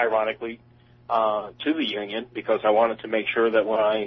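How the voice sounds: A man with an American accent speaks at a moderate pace in a fairly low pitch, monotone and flat, with a slightly husky edge and a nervous tone.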